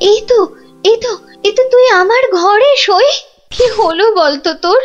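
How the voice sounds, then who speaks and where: Faint music plays in the background as a woman speaks at a moderate pace. She uses a cartoonish character voice with an extremely high pitch. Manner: dramatic, excitable.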